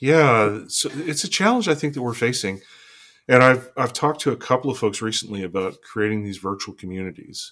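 A man with a Canadian accent and an unremarkable speaking voice, medium in pitch, at a fairly quick pace, on a very clean recording with a silent background. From northern British Columbia, Canada. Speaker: trust expert. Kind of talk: interview conversation.

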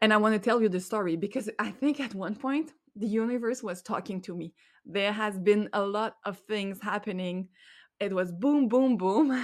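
On a very clean recording with a silent background, a woman with a Quebec accent speaks at medium pitch and a moderate pace. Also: ordinary pitch variation. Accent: French Québécois accent in English. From Quebec, Montreal. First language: French. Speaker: life coach and podcast host. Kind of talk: solo podcast monologue. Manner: halting, searching for words.

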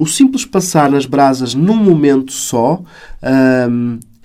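This man's voice sits at a fairly high pitch. It carries a dark, mellow tone. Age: 40s. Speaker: breathwork facilitator and psychologist. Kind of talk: casual interview. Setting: podcast.

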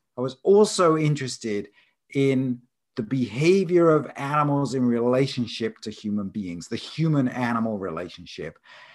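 A man's medium-pitched voice swings very widely in pitch as he talks at a moderate pace. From southern England (Isle of Wight). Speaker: animal behaviour scientist and professor. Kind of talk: interview.

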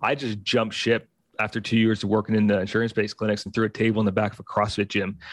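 A man's fairly low voice at a very fast pace, in a very clean recording with a silent background. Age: 30s. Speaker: physical therapist and movement coach. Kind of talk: casual chat.

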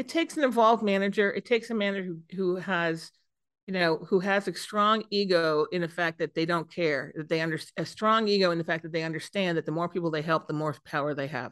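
A woman with a fairly low pitch and an ordinary speaking voice, ordinary pitch variation, a fairly quick pace, and a quiet background. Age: 50s. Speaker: CEO of a PR agency. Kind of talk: casual interview.

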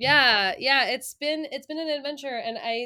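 A very clean recording with a silent background of a woman with an American accent, bright and sharp in tone, at a fairly slow pace. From US Northeast, Long Island, New York. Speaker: music educator and author. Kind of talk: casual interview.

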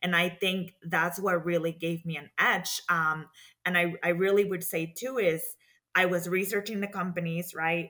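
A woman with a Spanish accent speaks at a moderate pace in a fairly low pitch, her tone bright and sharp and her intonation fairly even. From Mexico. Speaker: community development professional in banking. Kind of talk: interview.

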